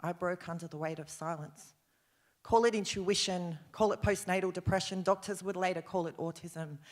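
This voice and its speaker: This woman talks with a medium pitch at a moderate pace. Her delivery stays monotone and flat. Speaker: poet. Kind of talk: slam poetry performance. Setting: live stage.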